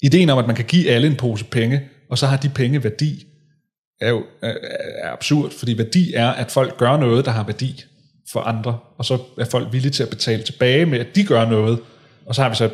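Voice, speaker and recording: Somewhat breathy, a man at medium pitch speaks at a moderate pace with ordinary pitch variation. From North Zealand, Denmark (Hillerød). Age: 30s. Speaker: author and political consultant. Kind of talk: interview conversation.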